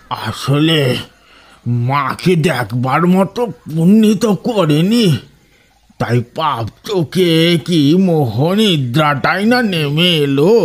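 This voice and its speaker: A man puts on a character voice at a fairly high pitch. He speaks very slowly, his loudness very even. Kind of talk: village folk storytelling. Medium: audio drama. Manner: theatrical, sing-song storytelling.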